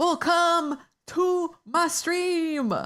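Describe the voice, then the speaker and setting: The voice is an extremely high one. It is put on for a character. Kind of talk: streamer hype talk.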